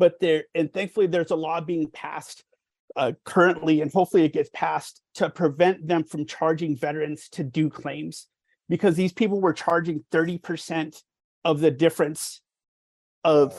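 On a very clean recording with a silent background, a man has an unremarkable speaking voice at a fairly high pitch. He talks at a moderate pace with fairly even intonation and big swings in loudness. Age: 40s. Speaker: military veteran. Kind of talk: casual chat.

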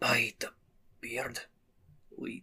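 A man whispers in a put-on character voice with a Scottish accent. His whisper is raspy.

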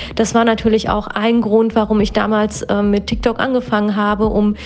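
Over noticeable background noise, a woman with a fairly high pitch speaks at a moderate pace in monotone, flat intonation. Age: 30s. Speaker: psychotherapist. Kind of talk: interview.

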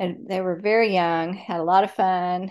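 An American accent shapes this woman's unremarkable speaking voice, fairly low in pitch, with fairly even intonation at a fairly slow pace over a quiet background. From Texas, Dallas. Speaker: author. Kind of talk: interview.

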